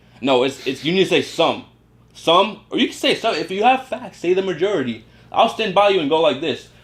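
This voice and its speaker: Animated in tone, a man speaks with lively intonation. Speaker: YouTuber, co-host of a couple's channel. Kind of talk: casual opinion talk to camera. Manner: fast, rambling.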